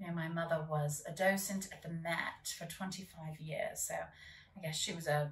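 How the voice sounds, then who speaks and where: A woman speaks at a fairly slow pace and fairly low pitch, somewhat breathy and with hardly any pauses. Her intonation stays fairly even, with audible room echo around her. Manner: theatrical, dry and teasing. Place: home room.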